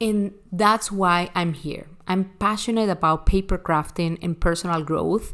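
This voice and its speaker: Animated and with hardly any pauses, a woman with a Spanish accent speaks fairly slowly at a fairly low pitch. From Venezuela. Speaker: online crafting teacher. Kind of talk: recorded online class.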